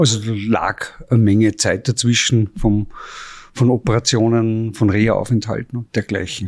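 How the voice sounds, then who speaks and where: A man's unremarkable speaking voice at medium pitch and moderate pace, with a dry, close sound and no echo. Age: 50s. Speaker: chef and restaurant owner. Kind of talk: testimony. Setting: restaurant.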